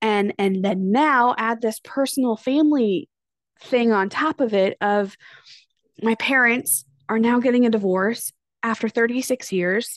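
In an ordinary speaking voice, a woman talks at a fairly slow pace with a fairly high pitch, ordinary pitch variation, and very even loudness. The sound is dry and close with no echo, over a quiet background. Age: 30s. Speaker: podcast host, former teacher and stay-at-home mom. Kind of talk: personal monologue. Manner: casual, with frequent fillers and laughs.

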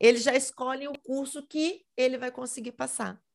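With vocal fry and a moderate pace, a woman speaks on a very clean recording with a silent background. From Minas Gerais, Brazil (Belo Horizonte). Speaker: teacher. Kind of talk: interview.

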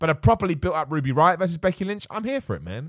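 A man with an English accent talks at a very fast pace in an upbeat tone with lively intonation. The recording is very clean, with a silent background. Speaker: wrestling podcast host. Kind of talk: casual solo podcast chat, live stream. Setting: live stream with chat. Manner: loud, upbeat, positive.

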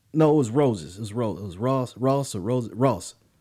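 In a very clean recording with a silent background, a man speaks at a medium pitch with ordinary pitch variation and a dark, mellow tone. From US South, Charlotte, North Carolina. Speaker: podcast co-host. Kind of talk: casual chat.

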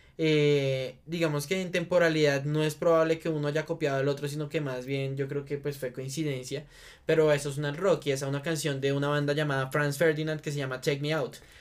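A man's fairly high-pitched voice with monotone, flat intonation at a fairly quick pace, in a very clean recording with a silent background. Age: 20s. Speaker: podcast host. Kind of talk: casual chat.

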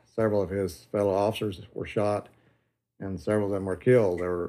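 A fairly low-pitched man with a Tennessee accent and fairly even intonation. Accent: Southern US (Tennessee). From Tennessee, McMinnville. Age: 60s. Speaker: grandson of a prohibition agent, retired security inspector. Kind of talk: interview. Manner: halting, many fillers.

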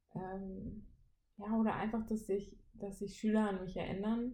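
With audible room echo around her, a woman speaks at a moderate pace in a dark, mellow, somewhat breathy tone. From Siegen, western Germany. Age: 20s. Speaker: trainee teacher, podcast co-host. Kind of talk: casual chat.

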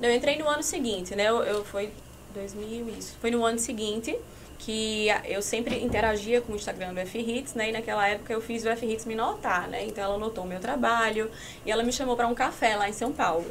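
Amid noticeable background noise and audible room echo, a woman speaks fairly quickly at a fairly high pitch with fairly even intonation. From Paraíba, Brazil. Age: 30s. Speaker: digital influencer and entrepreneur. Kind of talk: casual chat. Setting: studio.

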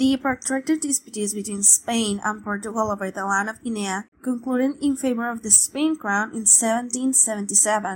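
A woman with a Spanish accent talks with hardly any pauses. Her voice is somewhat breathy and fairly high in pitch. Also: ordinary pitch variation, moderate pace. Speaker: guest co-narrator. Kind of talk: scripted narration.

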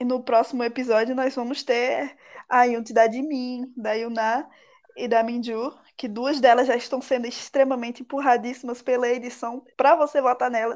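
Over a quiet background, a woman speaks in a high pitch at a moderate pace, her intonation monotone and flat. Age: 20s. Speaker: podcast co-host. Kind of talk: casual chat.

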